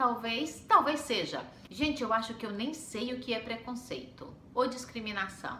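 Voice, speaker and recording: A high-pitched woman's voice with lively intonation at a fairly slow pace, plus audible room echo and noticeable background noise. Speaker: homemaker and mom vlogger. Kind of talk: casual vlog storytelling.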